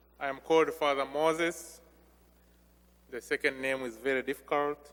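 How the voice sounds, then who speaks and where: A man with a Ugandan accent speaks at a fairly high pitch in a flat monotone. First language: non-English (Ugandan language). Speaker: visiting missionary priest. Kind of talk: homily. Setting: church during Mass. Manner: slow.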